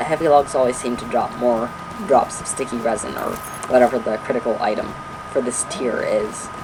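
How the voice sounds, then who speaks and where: The voice moves at a fairly quick pace with ordinary pitch variation. Noticeable background noise runs underneath. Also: man. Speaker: gaming video creator. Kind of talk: gameplay tutorial. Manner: stuttering, hyper.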